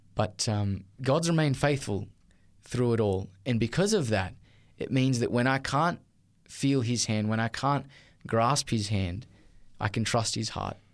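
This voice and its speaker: On a very clean recording with a silent background, a man speaks with an Australian accent at a medium pitch. His pace is fairly slow, with ordinary pitch variation and long, frequent pauses. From Australia, Newcastle NSW. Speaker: teacher. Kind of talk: testimony. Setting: studio.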